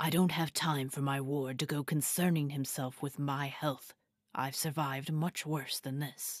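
A put-on character voice, raspy and low-to-middle in pitch, moves at a moderate pace. The recording is very clean, with a silent background. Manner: formal, blunt, commanding.

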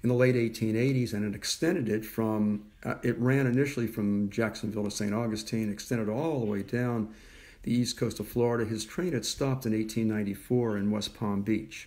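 The man's tone is dark and mellow. He speaks at a moderate pace with fairly even intonation. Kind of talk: lecture. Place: home room. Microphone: phone near.

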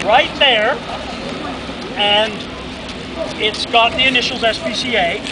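A man speaks at a fairly slow pace with long, frequent pauses over noticeable background noise. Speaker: charity auctioneer. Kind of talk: casual banter with the crowd before the auction. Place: street. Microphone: camera far.

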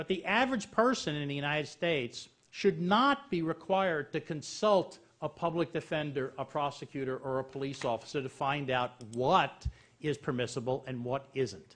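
With a New York accent, a man speaks at a moderate pace and a fairly high pitch. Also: ordinary pitch variation. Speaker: panel moderator, legal scholar. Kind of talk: panel moderation. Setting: stage with audience.

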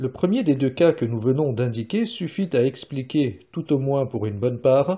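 A man's somewhat breathy voice with a dark, mellow tone over a quiet background. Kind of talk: audiobook reading of a philosophical text. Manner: formal, measured, even delivery; slow, deliberate, stating punctuation aloud.

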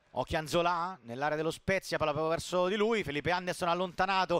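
A man talks at a very fast pace with a high pitch and a bright, sharp tone. The recording is very clean, silent in the background, and dry and close with no echo. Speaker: football commentator. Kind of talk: live football commentary. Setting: stadium, broadcast commentary. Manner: excitable, rising to shouts on goals.

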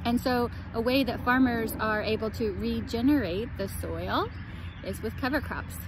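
A woman speaks in a relaxed tone. The sound is dry with no echo, though noticeable background noise is present. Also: moderate pace. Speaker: urban farmer and farm school director. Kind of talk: outdoor farm tour video. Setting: outdoors on a farm. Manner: relaxed, with many fillers. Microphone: phone near.

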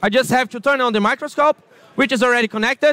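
A man with a Portuguese accent speaks at an extremely high pitch in a raised, projected voice, his tone bright and sharp, his pitch varying in an ordinary way, in a dry sound with no echo. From Brazil. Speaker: product specialist presenter. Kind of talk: product presentation. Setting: trade fair booth with audience. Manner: hesitant with fillers. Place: hall. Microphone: lapel.

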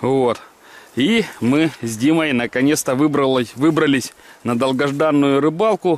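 Music plays behind a man whose voice sounds dry, with no echo. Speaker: fishing vlogger. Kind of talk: casual vlog chat. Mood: cheerful, relaxed. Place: waterside. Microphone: phone near.

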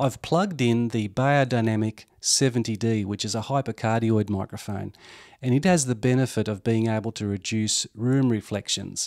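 With a silent backdrop, a man talks at a middling speed, his pitch shifting in a normal way. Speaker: gear reviewer. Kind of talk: tutorial. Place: studio. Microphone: handheld.

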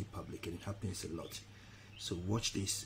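A man with a very deep, low voice speaks with fairly even intonation over light background noise. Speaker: online business coach. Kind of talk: tutorial. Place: home room. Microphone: webcam.

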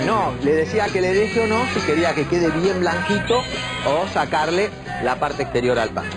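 A man talks at a moderate pace. Loud music plays behind him. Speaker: chef demonstrating a recipe. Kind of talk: TV cooking demonstration, explaining steps. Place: studio. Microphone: lapel.

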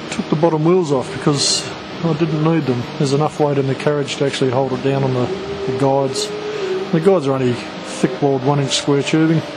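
Amid loud background noise, a man speaks at a fairly quick pace. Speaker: hobbyist maker. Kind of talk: casual show-and-tell to camera. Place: workshop. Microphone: phone near.

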